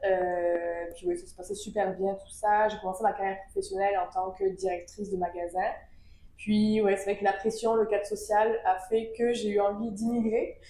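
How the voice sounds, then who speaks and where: At a moderate pace, a woman speaks at medium pitch in a dark, mellow tone with monotone, flat intonation. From southern France, Avignon. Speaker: event agency co-founder. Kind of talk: podcast interview.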